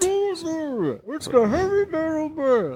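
Squeaky and high-pitched, a put-on character voice speaks at a fairly slow pace. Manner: menacing, villainous.

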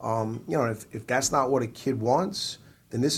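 A man talks at a moderate pace in an American accent with fairly even intonation. His is an unremarkable speaking voice. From New Jersey. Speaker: college baseball coach. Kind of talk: interview.

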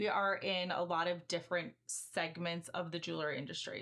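With an American accent and vocal fry, the speaker talks at a moderate pace over a quiet background. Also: woman. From US Midwest, Chicago suburbs. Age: 30s. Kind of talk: interview.

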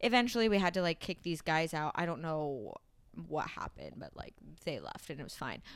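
Vocal fry from a woman at a fairly low pitch and a fairly quick pace. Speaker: podcast co-host. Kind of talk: casual chat.

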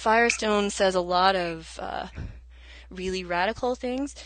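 A woman speaks with an American accent at a fairly slow pace. Hers is an ordinary speaking voice with medium pitch. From US South. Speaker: adjunct college instructor. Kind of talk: lecture-style explanation.

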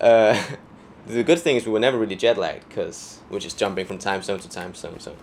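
A Danish accent at a fairly quick pace, with lively intonation, big swings in loudness, and a very clean recording over a silent background. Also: man, medium pitch for a man. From Denmark. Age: 20s. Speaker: dancer and choreographer. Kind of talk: casual chat. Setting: outdoors on a balcony.

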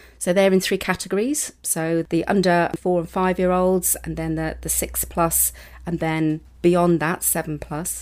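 In a British accent, a woman speaks at a fairly slow pace on a very clean recording with a silent background. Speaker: university lecturer in education. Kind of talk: interview about children's books. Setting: studio.

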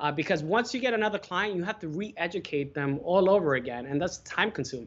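Speaking at a very fast pace, a man with a high pitch uses lively intonation. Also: hardly any pauses. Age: 30s. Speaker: wedding and event photographer. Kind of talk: casual interview.

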